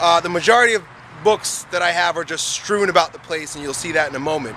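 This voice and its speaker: A man with a high pitch talks at a very fast pace with ordinary pitch variation and big swings in loudness, over noticeable background noise. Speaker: fitness coach. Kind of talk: casual vlog tour. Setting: at home; gym. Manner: quieter than usual.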